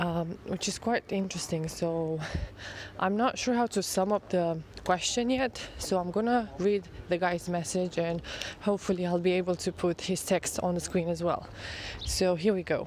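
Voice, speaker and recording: A woman speaks at a moderate pace in a fairly low pitch. Her intonation stays fairly even and her loudness very even. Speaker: photographer. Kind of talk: casual talk to camera. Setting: outdoors. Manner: rambling.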